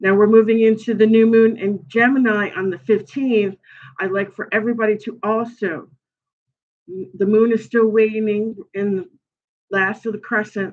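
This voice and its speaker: A Brooklyn accent at a moderate pace, with monotone, flat intonation. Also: woman, fairly high pitch for a woman. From New York, Brooklyn. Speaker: tarot reader and astrology livestreamer. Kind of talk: livestream tarot reading, casual talk. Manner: casual, halting with many fillers.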